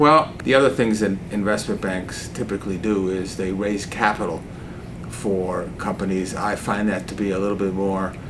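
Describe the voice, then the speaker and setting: Amid noticeable background noise and audible room echo, a man speaks at a moderate pace with a fairly low pitch and ordinary pitch variation. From Cuba, then US boarding school from age 11. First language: Spanish. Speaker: investment banker. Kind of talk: interview.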